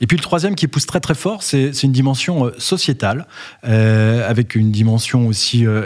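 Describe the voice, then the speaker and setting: A man with a medium-pitched voice talks fairly quickly. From Brittany, France. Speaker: company founder and CEO. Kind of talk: interview. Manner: hesitant, frequent fillers and repetitions.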